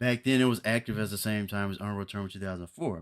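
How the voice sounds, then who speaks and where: Very fast delivery with fairly even intonation, on a very clean recording with a silent background. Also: man. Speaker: gaming streamer. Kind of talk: casual live stream chat. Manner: chill, mellow; halting, repetitive fillers.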